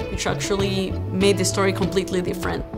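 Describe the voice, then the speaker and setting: Clear music sits behind a woman's speech. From Peru (Lima). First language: Spanish. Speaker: public health graduate student. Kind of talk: interview answer. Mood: warm, grateful. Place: office. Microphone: lapel.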